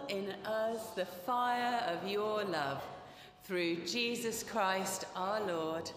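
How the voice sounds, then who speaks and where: The speech comes at a very slow pace with audible room echo and light background noise. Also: woman. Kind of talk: service welcome and prayer. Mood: warm, cheerful, smiling. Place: church. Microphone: podium.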